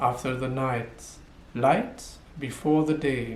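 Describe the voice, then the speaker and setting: There is audible room echo as a man talks at a very slow pace with lively intonation. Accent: French. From French-speaking Switzerland. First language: French. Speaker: poet. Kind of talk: video self-introduction. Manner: hesitant with fillers.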